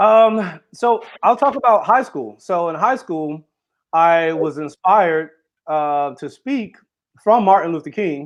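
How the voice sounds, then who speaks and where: Over a quiet background, a man with an American accent and a high pitch speaks at a very slow pace. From Florida, US. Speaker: author and speaker. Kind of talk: interview. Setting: live stream. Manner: runs sentences together.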